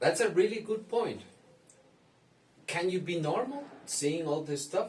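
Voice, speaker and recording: Speaking with a Spanish accent, a man uses very wide pitch swings. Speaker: psychologist. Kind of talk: commentary reacting to a video. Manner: halting.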